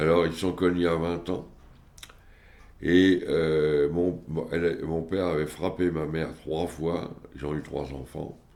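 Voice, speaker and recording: A man speaks at a very slow pace with a very deep, low pitch and monotone, flat intonation. Long, frequent pauses break up his speech, and room echo is audible. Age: 70s. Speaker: family member of psychiatric patients. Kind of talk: testimony. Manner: halting.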